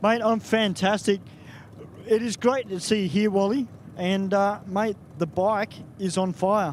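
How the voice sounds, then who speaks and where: A man's high voice in an Australian accent, ordinary pitch variation, a fairly slow pace and long, frequent pauses. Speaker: drag racing track announcer. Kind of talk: trackside interview.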